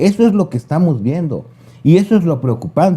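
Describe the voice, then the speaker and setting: His tone dark and mellow, a man speaks at a moderate pace with lively intonation and a somewhat breathy sound. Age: 60s. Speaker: political commentator. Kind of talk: casual chat.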